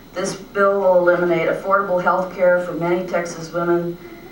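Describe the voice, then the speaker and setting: Noticeable background noise and audible room echo surround the recording. A woman with a fairly low pitch speaks at a moderate pace. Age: 60s. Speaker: retired art teacher giving public testimony. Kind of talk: prepared testimony at a legislative hearing. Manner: formal.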